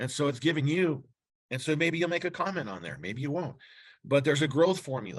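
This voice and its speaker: Against a quiet background, a man talks at a very fast pace in a fairly high pitch, with vocal fry and ordinary pitch variation. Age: 60s. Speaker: chiropractor sharing practice marketing tips. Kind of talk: casual interview talk. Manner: halting, many fillers and restarts.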